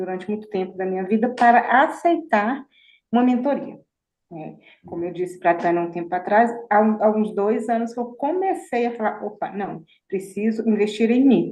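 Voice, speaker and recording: A plain, everyday voice carries lively intonation. The pace is moderate. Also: woman, fairly high pitch for a woman. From Minas Gerais, Brazil. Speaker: mentoring participant. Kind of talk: self-introduction in group. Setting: video call.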